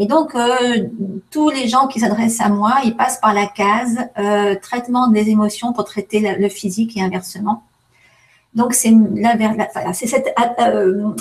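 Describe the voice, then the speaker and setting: A woman's somewhat breathy voice, fairly high in pitch, at a very slow pace with fairly even intonation. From France. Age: 50s. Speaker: aromatherapist. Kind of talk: interview. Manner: hesitant, many fillers.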